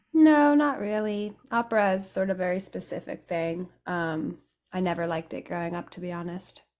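A woman's lively, American-accented speech at a moderate pace, with big swings in loudness over a quiet background. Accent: sounds American. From raised between England, France and Italy. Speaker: Americana musician, banjo and guitar player; guest. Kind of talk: interview, casual chat. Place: home room. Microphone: studio mic.

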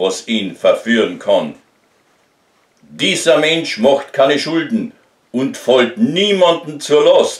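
A man with a Carinthian accent at a very slow pace, with audible room echo over a quiet background. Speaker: amateur poet. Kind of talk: poetry reading. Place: home room. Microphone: phone near.

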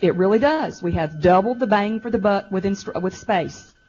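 Music plays in the background while a woman talks. She speaks at a fairly quick pace with ordinary pitch variation. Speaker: school district administrator presenting to school board. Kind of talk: board meeting presentation. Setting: school board work session in high school venue. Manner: fast.

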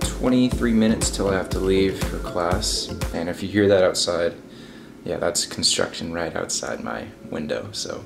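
Clear background music accompanies a man as he talks. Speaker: college student vlogger. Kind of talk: casual vlog chat. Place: home room.

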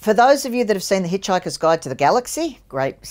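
In a very clean recording with a silent background, a woman speaks with lively intonation.

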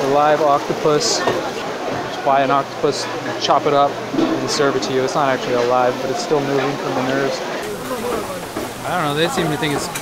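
This man talks fairly quickly. Heavy background noise is present throughout. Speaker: travel vlogger. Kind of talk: casual vlog chat. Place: market. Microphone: phone near.

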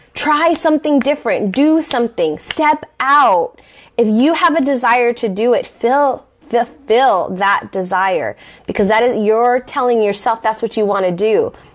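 A woman with an American accent speaks at a fairly slow pace, her pitch high. Her intonation is lively, and the background is quiet. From Southern California. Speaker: life coach; life coach host. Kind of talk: casual talk to camera. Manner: conversational, with fillers. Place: home room. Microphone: phone near.

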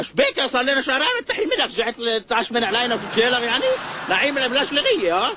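A man's put-on character voice at a very fast pace, extremely high in pitch, with big pitch swings and a bright, sharp tone

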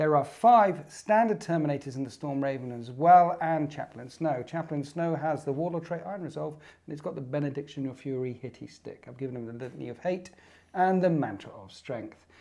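Hardly pausing, a man with a British accent speaks at a fairly quick pace in a fairly high voice with a dark, mellow tone and big swings in loudness. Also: ordinary pitch variation. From UK. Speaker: tabletop wargaming YouTuber. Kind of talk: casual banter during a tabletop game. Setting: studio. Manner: animated. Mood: playful banter. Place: studio. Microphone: lapel.

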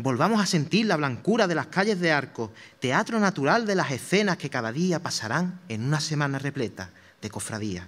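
At a moderate pace and fairly high pitch, a man speaks in a solemn tone with very wide pitch swings. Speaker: Holy Week proclaimer, brotherhood member; speaker. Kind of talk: formal declaimed speech. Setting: theatre stage with audience. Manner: solemn, rhetorical, emotive, with rhythmic verse cadence; exhortative, impassioned and devotional, building to a fervent cry at the close. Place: stage. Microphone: podium.

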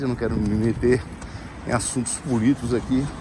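Over noticeable background noise, a man talks at a fairly quick pace with fairly even intonation, and the sound is dry with no echo. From Brazil. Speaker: vlogger. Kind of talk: casual vlog monologue. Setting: outdoors, riding a bicycle.

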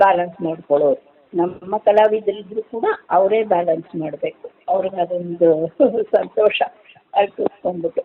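A woman with an ordinary speaking voice speaks at a medium pitch. Her pitch varies in an ordinary way. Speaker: retired radio singer. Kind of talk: interview.

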